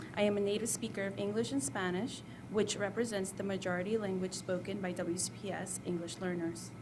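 This woman talks at a fairly quick pace in an American accent, her pitch medium with ordinary variation. The room gives off audible echo. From El Salvador, raised in the US. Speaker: school community liaison, former language teacher. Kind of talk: presentation. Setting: school board meeting. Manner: formal.

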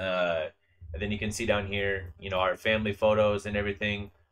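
This is an ordinary speaking voice from a man with an American accent. He has a fairly low pitch and a moderate pace. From Northern Washington, US. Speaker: YouTube collector channel host. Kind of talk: casual chat. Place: home room. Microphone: video call.

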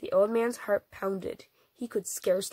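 Over a quiet background, the speaker reads in a natural reading voice.

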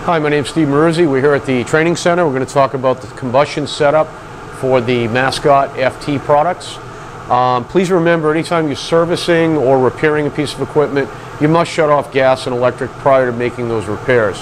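A man talking at a fairly quick pace with ordinary pitch variation over light background noise. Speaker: product trainer. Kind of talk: tutorial. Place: workshop. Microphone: lapel.

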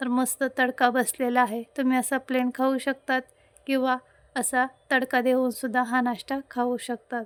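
A woman's high, monotone voice with flat intonation, dry and close with no echo, on a very clean recording with a silent background. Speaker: cooking channel host. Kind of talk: cooking tutorial. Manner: chatty, conversational.

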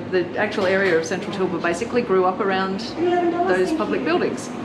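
Loud background noise fills the clip. A woman talks at a very fast pace with ordinary pitch variation. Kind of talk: interview answer. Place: shop. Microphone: phone near.

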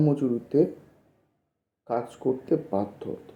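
A man with an unremarkable speaking voice talks with lively intonation. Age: 20s. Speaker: YouTuber explaining political theory. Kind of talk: lecture.

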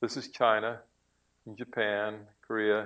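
The speaker is a man. He talks with an American accent. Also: quiet background. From Florida. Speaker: marine biologist lecturer. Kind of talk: lecture. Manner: halting. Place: hall.

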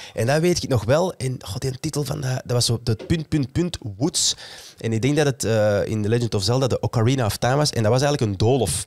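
This man talks at a fairly quick pace. His medium pitch shows ordinary variation. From Flanders. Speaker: podcast host. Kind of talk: casual chat. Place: studio. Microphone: studio mic.

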